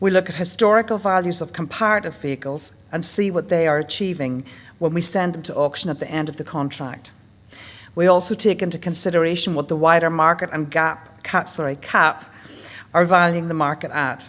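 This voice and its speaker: A woman with a Northern Irish accent talks at a fairly quick pace, her pitch fairly low and her intonation fairly even. The recording is very clean, with a silent background. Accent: Northern Irish accent, noticeable. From Northern Ireland. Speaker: leasing account manager. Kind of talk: conference presentation. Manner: formal.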